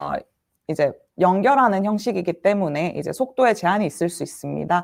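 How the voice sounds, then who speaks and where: A woman's medium-pitched voice with vocal fry, lively intonation and a fairly quick pace, on a very clean recording with a silent background. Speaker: solution engineer presenting tech session. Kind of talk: tech demo presentation. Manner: fast.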